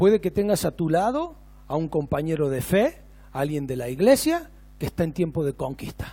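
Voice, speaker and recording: With an ordinary speaking voice, a man talks at a moderate pace in a fairly high pitch with lively intonation. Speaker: pastor. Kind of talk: sermon. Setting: church.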